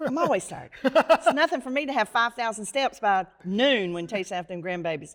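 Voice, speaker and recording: In a very clean recording with a silent background, a woman with an American accent talks at a fairly quick pace with hardly any pauses. Her fairly high voice swings very widely in pitch and strongly in loudness. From North Carolina. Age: 60s. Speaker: real estate agent. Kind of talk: interview.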